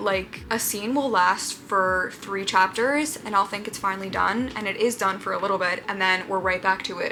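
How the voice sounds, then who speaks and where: A woman talks at a moderate pace in a medium pitch with ordinary pitch variation, and noticeable background noise can be heard. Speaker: booktuber. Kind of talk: casual vlog. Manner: whispering.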